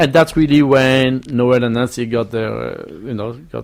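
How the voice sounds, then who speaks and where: A man speaks at a moderate pace. His pitch sits in the middle range and moves in an ordinary way. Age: 60s. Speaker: hotel general manager. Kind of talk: radio interview. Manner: halting.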